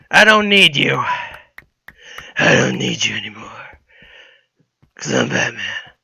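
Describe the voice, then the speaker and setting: A man uses a raspy, put-on character voice. He leaves long, frequent pauses. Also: moderate pace. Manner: brooding.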